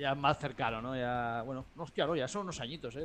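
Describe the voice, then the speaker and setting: An ordinary speaking voice from a man, fairly quick, with ordinary pitch variation. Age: 30s. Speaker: podcast co-host and intro narrator. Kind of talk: casual chat.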